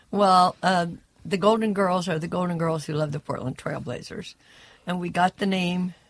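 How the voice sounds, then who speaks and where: In an American accent, a woman with a fairly low pitch speaks at a moderate pace, somewhat breathy and with fairly even intonation. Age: 70s. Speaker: sports super fan. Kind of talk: casual interview.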